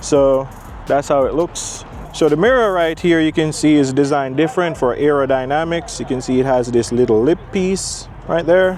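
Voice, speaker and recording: Over noticeable background noise, a man with a fairly high pitch and ordinary pitch variation talks at a moderate pace with very even loudness. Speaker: car reviewer. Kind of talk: product walkaround review.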